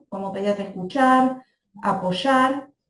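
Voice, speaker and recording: Her voice is somewhat breathy, with ordinary pitch variation. The woman speaks at a fairly slow pace. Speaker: pediatrician. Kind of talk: lecture.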